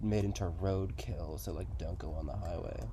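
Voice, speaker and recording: A man with an American accent speaks at a moderate pace, with audible room echo. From southeast Massachusetts. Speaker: paranormal video host. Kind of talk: casual chat. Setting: outdoors in a swamp at night. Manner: halting, many fillers.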